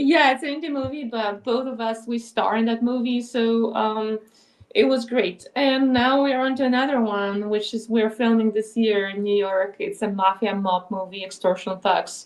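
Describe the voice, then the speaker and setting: At a moderate pace, a woman with a Polish accent speaks in a fairly high pitch with ordinary pitch variation. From Poland. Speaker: filmmaker and actress. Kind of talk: casual chat.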